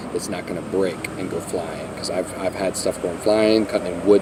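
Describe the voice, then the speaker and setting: A man's fairly low voice moves at a fairly quick pace, with noticeable background noise behind it. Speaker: sailboat vlogger. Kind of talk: casual vlog tutorial. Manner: fast.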